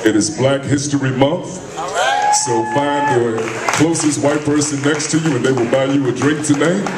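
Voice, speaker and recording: The speech moves at a moderate pace. Loud background noise runs underneath it. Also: man. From United States. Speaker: emcee and radio host. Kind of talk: live event emcee. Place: stage.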